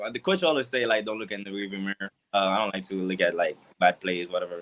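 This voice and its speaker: The speaker is a man with a Haitian accent. His fairly low voice has a bright, sharp tone. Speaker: college football player. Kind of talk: casual interview.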